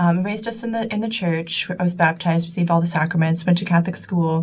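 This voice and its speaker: Here is a woman with a fairly low pitch and an American accent. Her voice is somewhat breathy. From US Midwest, Des Moines, Iowa. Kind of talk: interview. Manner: hesitant, many fillers.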